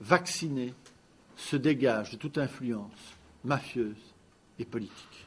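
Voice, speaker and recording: Loud and very slow, a man speaks at medium pitch with lively intonation. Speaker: lawyer. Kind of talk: press conference statement. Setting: press conference. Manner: loud, carrying voice.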